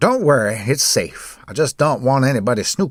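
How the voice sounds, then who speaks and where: A man's put-on character voice at a medium pitch. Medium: read story. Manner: calm, unhurried, quietly insistent.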